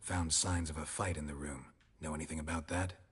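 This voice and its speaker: In a put-on character voice, a man delivers deadpan, raspy lines at a very deep, low pitch, with monotone, flat intonation and a fairly quick pace. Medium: video game. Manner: terse, deadpan.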